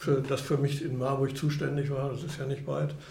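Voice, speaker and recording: A man's medium-pitched voice with noticeable background noise and audible room echo. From Germany. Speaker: retired chamber of commerce executive. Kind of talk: interview conversation. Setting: restaurant.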